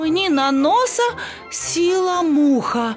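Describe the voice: Faint music plays in the background. A put-on character voice moves at a slow pace with lively intonation. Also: woman, extremely high pitch for a woman.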